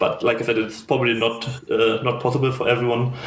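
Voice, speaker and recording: A man with a German accent speaks at a medium pitch. There is audible room echo and noticeable background noise. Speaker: fireplay educator. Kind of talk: interview. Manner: lyrical; halting.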